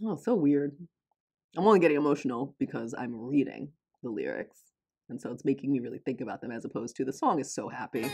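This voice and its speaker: With a General American accent, a woman talks very fast in a very deep, low, dark, mellow voice, with ordinary pitch variation and big swings in loudness over a quiet background. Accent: general American, self-described non-. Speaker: K-pop reaction youtuber. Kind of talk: reaction video commentary.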